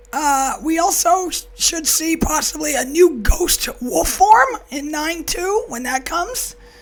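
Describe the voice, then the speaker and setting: A woman at an extremely high pitch with lively intonation, a fairly slow pace and hardly any pauses, over noticeable background noise. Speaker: gaming video host. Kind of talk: casual gaming news update to camera.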